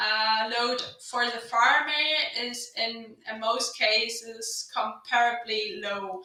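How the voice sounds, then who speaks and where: A woman speaks very slowly with a German accent, her pitch fairly high and her intonation fairly even. Audible room echo and noticeable background noise surround her voice. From western Germany, North Rhine-Westphalia. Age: 30s. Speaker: agricultural innovation manager. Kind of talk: podcast interview. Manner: hesitant, many fillers.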